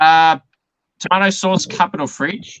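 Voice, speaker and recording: Loud and high-pitched, a man's bright, sharp tone comes through in a dry, close sound with no echo. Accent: Australian. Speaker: interviewer. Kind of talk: casual interview.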